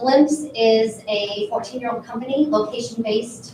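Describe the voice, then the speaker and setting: With a Minnesotan accent, a woman speaks at a moderate pace with a fairly high pitch and ordinary pitch variation. The room echo is audible and the background noise noticeable. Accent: Minnesota. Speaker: panel moderator at a marketing conference. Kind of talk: conference panel moderation. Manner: casual, filler-heavy.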